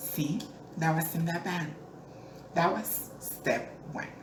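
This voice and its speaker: Room echo is audible. There is also noticeable background noise. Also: woman. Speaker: entertainer and pageant owner. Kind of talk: advice monologue to camera. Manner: earnest, encouraging.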